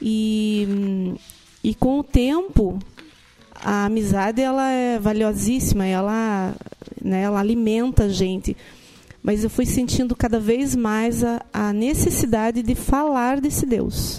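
A woman speaks at a very slow pace. Her voice is fairly high. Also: ordinary pitch variation. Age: 40s. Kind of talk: casual chat.

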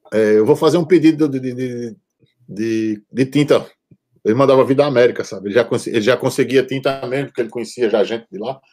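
A dark, mellow tone with a Brazilian accent at a fairly quick pace. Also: man, medium pitch for a man, ordinary pitch variation. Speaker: tattoo artist and punk musician. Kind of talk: casual chat.

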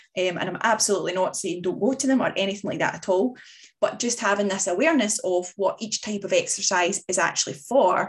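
A woman with a Scottish accent, medium pitch, ordinary pitch variation and a moderate pace. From Scotland. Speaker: fitness coach podcast host. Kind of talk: solo podcast monologue. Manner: casual, hesitant with fillers.

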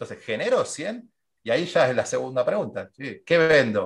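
A man speaks against a quiet background. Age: 40s. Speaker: marketing and sales consultant. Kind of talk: interview.

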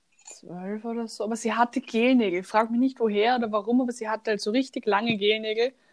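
A woman with an Austrian accent speaks very fast in a fairly high pitch, her intonation flat and monotone. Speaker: podcast co-host. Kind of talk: casual chat.

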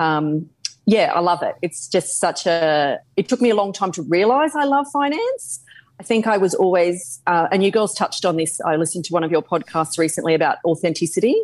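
A woman in an Australian accent speaks at a fairly quick pace. Her pitch is medium and her intonation lively. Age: 40s. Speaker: finance adviser. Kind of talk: interview.

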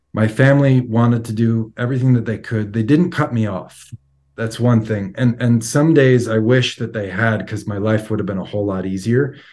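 This man has an ordinary speaking voice with an American accent, a medium pitch, fairly even intonation and a moderate pace. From New York, Long Island. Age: 40s. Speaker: recovering addict, IT worker. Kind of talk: testimony. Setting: video call.

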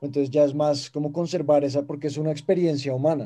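Fairly even in intonation, a man's voice sits at a fairly high pitch with a dark, mellow tone. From Colombia, Bogotá. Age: 18. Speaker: TikToker and acting student. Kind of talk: casual chat.

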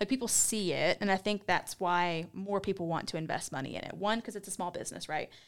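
On a very clean recording with a silent background, a woman with a medium pitch and ordinary pitch variation talks at a very fast pace. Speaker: podcast host. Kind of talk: casual interview chat.

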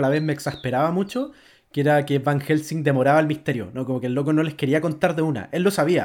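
In a very clean recording with a silent background, a man with a Chilean accent speaks at a fairly high pitch with fairly even intonation. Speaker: podcast host. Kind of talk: casual chat.

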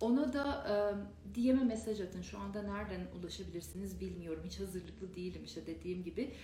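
A woman speaks at a fairly quick pace, with audible room echo and noticeable background noise. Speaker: meditation teacher. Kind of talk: live stream talk. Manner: casual, unprepared.

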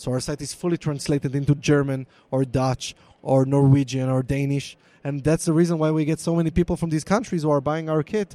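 With an Israeli accent, a man talks at a fairly quick pace in a fairly high pitch, his dark, mellow tone and fairly even intonation captured in a dry, close sound with no echo. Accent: Israeli (Hebrew-accented) English. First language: Hebrew. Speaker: DNA product manager. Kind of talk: live interview. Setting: live recording at conference with onlookers.

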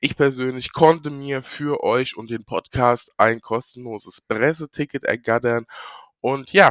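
At a very slow pace, a man speaks on a very clean recording with a silent background. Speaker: podcast host on watches. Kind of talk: casual solo podcast talk. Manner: many fillers and hesitations.

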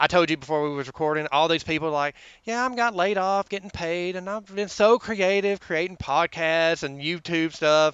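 Showing hardly any pauses, a man talks at a high pitch with ordinary variation in a Southern US accent. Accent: Southern US drawl. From US South. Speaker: government office worker. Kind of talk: casual chat.

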